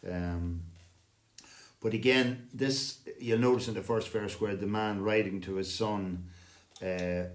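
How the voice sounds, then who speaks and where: A man with an Irish accent, fairly low in pitch and fairly even in intonation, heard with audible room echo. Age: 60s. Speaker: singing circle host, retired lecturer. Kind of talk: casual chat.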